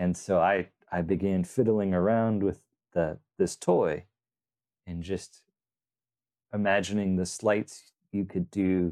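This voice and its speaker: A man speaks very slowly in a very deep, low pitch with a dark, mellow tone and a relaxed tone. His intonation is monotone and flat, broken by long, frequent pauses. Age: 40s. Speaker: magician and coin magic creator. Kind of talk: casual interview chat. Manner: slow, relaxed speaker.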